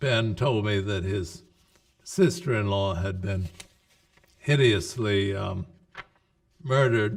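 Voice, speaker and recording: Slowly, with long, frequent pauses, a man speaks in an American accent at a fairly low pitch and a very slow pace, showing ordinary pitch variation. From US Northeast. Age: 80s+. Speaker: psychiatrist and researcher. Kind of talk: interview. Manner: hesitant with fillers.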